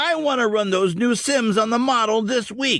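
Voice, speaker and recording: A man speaks in a put-on character voice. His pitch is extremely high, and his pace is moderate. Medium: read story. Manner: earnest, fatherly.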